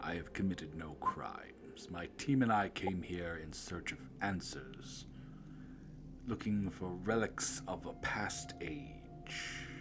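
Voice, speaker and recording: A man's put-on character voice, very deep and low, at a fairly slow pace over loud background noise. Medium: actual play. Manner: slow, measured, aloof.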